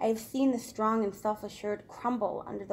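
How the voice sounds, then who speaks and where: A woman with a normal speaking voice, fairly high in pitch, fairly quick in pace, with fairly even intonation. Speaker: spoken word poet. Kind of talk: poetry reading.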